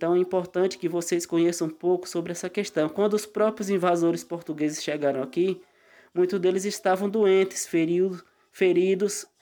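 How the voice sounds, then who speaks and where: Dark and mellow in tone, this man's voice is high-pitched. His pace is moderate. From Euclides da Cunha, Bahia, Brazil. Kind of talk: explanatory talk.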